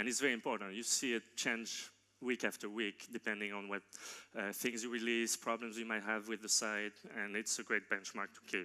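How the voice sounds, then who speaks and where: A man with a slight non-native accent and a fairly low pitch speaks at a fairly quick pace, his tone bright and sharp and his intonation monotone and flat. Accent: slight foreign. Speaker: tech company co-founder and CTO. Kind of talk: conference keynote. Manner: hesitant, many fillers and restarts.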